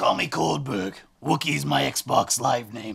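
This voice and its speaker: In a put-on character voice, the speaker sounds raspy, goes at a fairly slow pace, and makes very wide pitch swings. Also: man. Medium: comedy sketch. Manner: evasive, abrupt.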